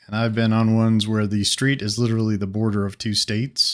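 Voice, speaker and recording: A soft-spoken man at a fairly quick pace on a very clean recording with a silent background. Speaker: gaming video creator. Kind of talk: casual gameplay commentary. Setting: home studio. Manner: soft-spoken, talking low.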